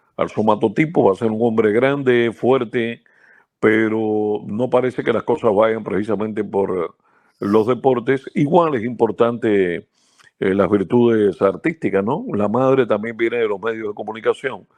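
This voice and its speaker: A man at a fairly slow pace, medium in pitch, with ordinary pitch variation and an ordinary speaking voice. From central Cuba. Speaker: baseball radio announcer. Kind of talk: interview.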